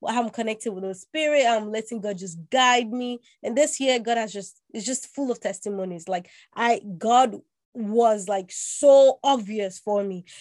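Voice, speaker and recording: Speaking at a moderate pace, a woman with an unremarkable speaking voice uses a fairly high pitch and ordinary pitch variation, and her loudness swings widely. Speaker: podcast co-host. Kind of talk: casual chat.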